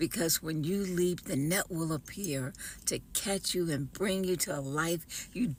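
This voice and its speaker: A plain, everyday voice moves along at a fairly slow pace. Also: woman. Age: 60s. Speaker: author and entrepreneur. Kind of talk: personal testimony video.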